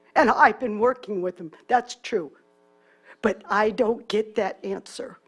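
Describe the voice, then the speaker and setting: Loudness rises and falls sharply over a fairly slow pace, with ordinary pitch movement and music playing in the background. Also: woman, fairly high pitch for a woman. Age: 60s. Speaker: public commenter. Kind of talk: public testimony.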